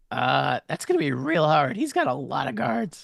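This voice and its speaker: In a raspy, put-on character voice, a man speaks at a moderate pace with a fairly high pitch. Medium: actual play. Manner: talkative, hesitant, casual.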